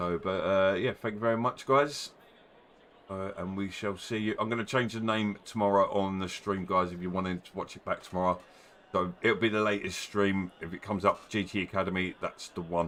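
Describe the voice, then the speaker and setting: In a Cockney accent, a man speaks at a fairly low pitch. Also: big swings in loudness. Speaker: sim racing league organiser. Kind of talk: casual chat.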